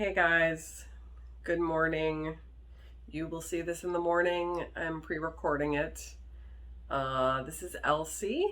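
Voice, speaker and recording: A woman's very slow voice with long, frequent pauses and audible room echo. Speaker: vlogger. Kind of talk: casual vlog talk. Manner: loud.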